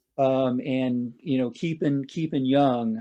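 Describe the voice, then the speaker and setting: At a moderate pace, a man speaks with a fairly high pitch and a dark, mellow tone over a quiet background. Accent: American. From Southern California. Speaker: entrepreneur. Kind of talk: interview.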